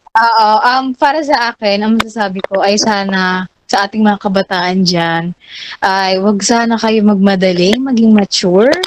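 A plain, everyday voice at a fairly slow pace, with ordinary pitch variation, very even loudness, and a dry, close sound with no echo. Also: woman, medium pitch for a woman. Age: young. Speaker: student podcast co-host. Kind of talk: casual chat. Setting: live stream.

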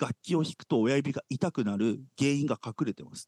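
The sound is dry and close with no echo. The pace is fairly slow. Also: man. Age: 40s. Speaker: church podcast co-host. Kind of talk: casual chat. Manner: animated.

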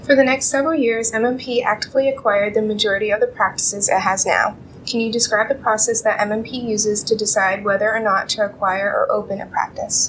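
A woman's fairly high pitch at a fairly quick pace, with hardly any pauses, fairly even intonation and very even loudness, over noticeable background noise. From northern Maine, Presque Isle. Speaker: university student interviewer. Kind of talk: interview.

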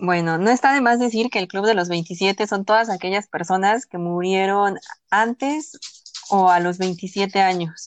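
A woman with a normal speaking voice talks at a fairly slow pace and a medium pitch, with ordinary pitch variation, in a dry, close sound with no echo against a quiet background. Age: 20s. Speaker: podcast co-host. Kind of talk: casual chat.

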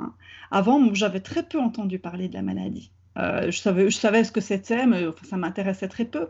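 A woman speaks at a fairly quick pace with vocal fry, a medium pitch and ordinary pitch variation. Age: 40s. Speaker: therapist. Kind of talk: interview. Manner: halting.

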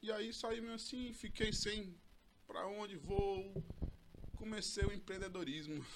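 His pitch high and ordinarily varied, a man speaks at a fairly slow pace. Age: 40s. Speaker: real estate sales coordinator and broker trainer. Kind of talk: casual interview chat.

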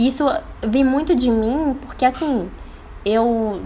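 A woman talks at a very slow pace with lively intonation. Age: 20s. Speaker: entrepreneur and law student. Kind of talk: casual interview. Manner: casual, filler-heavy.

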